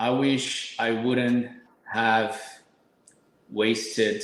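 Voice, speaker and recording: Speaking very slowly with fairly even intonation, a man at a medium pitch is heard in audible room echo. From Brazil, São Paulo. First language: Portuguese. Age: 30s. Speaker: supplement company owner, fitness guest. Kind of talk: podcast interview.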